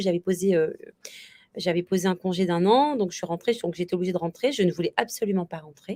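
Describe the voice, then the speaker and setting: Pitched at a medium level, a woman's voice shows ordinary pitch variation. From Réunion. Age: 40s. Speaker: bridal shop owner, former teacher. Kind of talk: interview. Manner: hesitant, many fillers.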